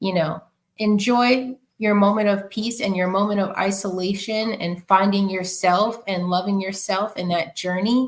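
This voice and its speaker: Speaking with a New York accent, a woman keeps a medium pitch and fairly even intonation. Her pace is moderate. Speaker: podcast guest. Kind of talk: casual interview conversation.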